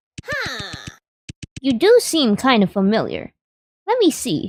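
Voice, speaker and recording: A put-on character voice at a fairly slow pace. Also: woman, high pitch for a woman. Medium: game stream. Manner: nosy, chatty.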